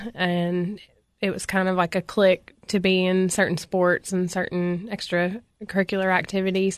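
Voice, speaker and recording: A woman with a Southern US accent speaks at a moderate pace and a medium pitch. Her intonation is monotone and flat, and the background is quiet. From Tennessee, Cookeville area. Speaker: ministry director, recovering addict. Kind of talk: testimony. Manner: hesitant, many filler words.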